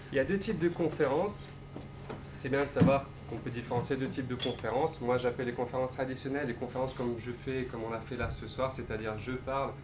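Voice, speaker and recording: A man at a very fast pace with ordinary pitch variation, noticeable background noise and audible room echo. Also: medium pitch for a man. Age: 20s. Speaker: motivational speaker and entrepreneur. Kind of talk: public talk.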